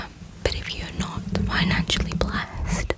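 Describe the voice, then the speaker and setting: Whispering from a woman at a fairly slow pace over noticeable background noise. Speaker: ASMR creator. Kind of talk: asmr whisper ramble, casual talk to camera. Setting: bedroom, home microphone. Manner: whispered, soft-spoken.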